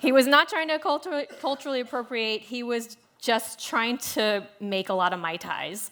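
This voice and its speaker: A woman with an American accent speaks at a moderate pace with a high pitch, lively intonation and hardly any pauses, against noticeable background noise. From US South, Louisiana (Shreveport). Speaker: food writer, moderator. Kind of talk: panel discussion.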